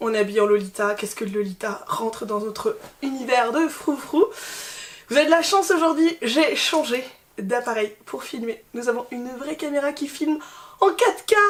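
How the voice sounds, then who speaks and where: Shouting loudly at a moderate pace, a woman with a high pitch makes very wide pitch swings over noticeable background noise. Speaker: fashion YouTuber. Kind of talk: casual haul video chat. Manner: loud, shouting.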